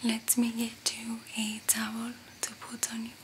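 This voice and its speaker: A soft-spoken woman talks at a fairly slow pace. Her intonation is monotone and flat, over light background noise. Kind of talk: ASMR roleplay talk to viewer. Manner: soft, hushed ASMR speech. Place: home room.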